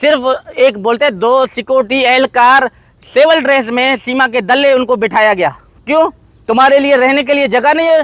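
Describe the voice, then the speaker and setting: The sound is dry and close, with no echo. A man speaks at an extremely high pitch, with ordinary pitch variation. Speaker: vlogger, father appealing for his children. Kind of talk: emotional video appeal. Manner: impassioned.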